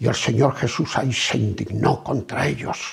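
The pace of this man is fairly slow. Around him, the background stays quiet. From Barcelona, Catalonia, Spain; Catalonia, Spain. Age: 70s. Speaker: preacher. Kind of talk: sermon. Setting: at home. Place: home room.

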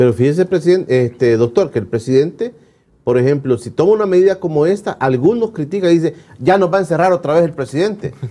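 Someone speaks at a very fast pace with lively intonation. The tone is dark and mellow. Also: man, fairly high pitch for a man. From El Salvador. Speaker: TV talk show host. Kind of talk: interview. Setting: studio. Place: studio. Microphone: lapel.

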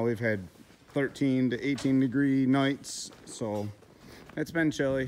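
A man's intonation stays fairly even while light background noise sits behind him. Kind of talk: casual vlog chat. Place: farm machine. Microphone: phone near.

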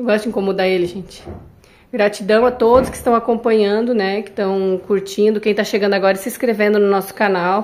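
A woman of medium pitch talks at a fairly quick pace. Her intonation is monotone and flat. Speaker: construction vlogger. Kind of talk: casual vlog narration. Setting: construction site.

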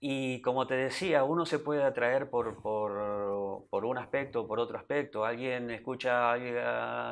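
A man at a fairly slow pace with ordinary pitch variation. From Argentina, Buenos Aires. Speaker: temple president, religious devotee; interview guest. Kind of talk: TV interview. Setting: TV studio. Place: studio. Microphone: lapel.

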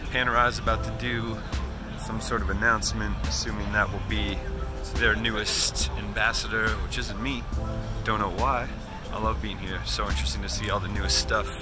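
A man at a fairly quick pace, dry sound with no echo, clear music in the background. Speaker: watch vlogger. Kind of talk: casual vlog chat. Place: hall. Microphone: phone near.

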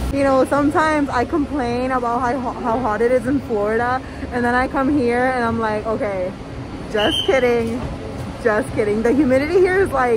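A high-pitched woman at a moderate pace, with crowd noise in the background. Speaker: travel vlogger. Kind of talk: casual vlog chat. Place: street. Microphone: phone near.

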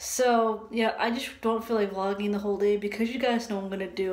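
Against noticeable background noise, a woman speaks fairly quickly at a medium pitch with monotone, flat intonation. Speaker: vlogger. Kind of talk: casual vlog. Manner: casual, filler-heavy.

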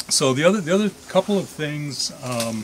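Light background noise sits under the recording. A man speaks at a moderate pace. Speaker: walk guide. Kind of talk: guided tour talk. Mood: reflective, calm. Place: forest. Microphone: camera far.

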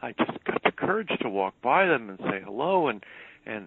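Speaking at a fairly slow pace with an American accent, a man swings his pitch very widely. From New York. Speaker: publicist. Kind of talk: interview. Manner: halting.

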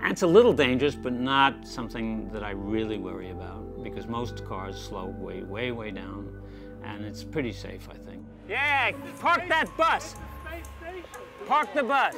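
With clear music in the background, a man speaks at a fairly slow pace, his loudness swinging widely. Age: 80s+. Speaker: amateur astronomer. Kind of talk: documentary interview answer. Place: home room.

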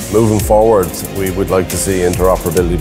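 The speech comes at a very fast pace. Clear music plays in the background. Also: man. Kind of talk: interview answer. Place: garage.

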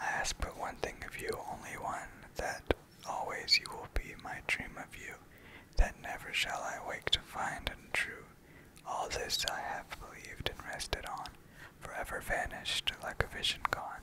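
The whispering moves along at a moderate pace. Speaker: asmr creator. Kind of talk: ASMR poetry reading. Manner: whispered. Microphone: studio mic.

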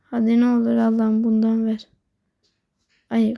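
Slowish and flat, a woman's fairly high voice carries a dark, mellow tone and monotone intonation at a fairly slow pace. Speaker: gaming video creator. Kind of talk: gameplay commentary.

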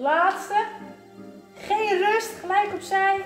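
A woman speaks at a very slow pace, with music in the background and audible room echo. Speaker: fitness instructor. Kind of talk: workout class instruction. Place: gym. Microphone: camera far.

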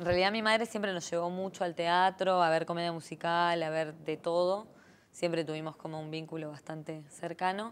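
A woman speaks at a moderate pace. Her fairly low voice keeps a fairly even intonation. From Argentina, Buenos Aires. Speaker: singer; interview guest. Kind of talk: interview. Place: studio.

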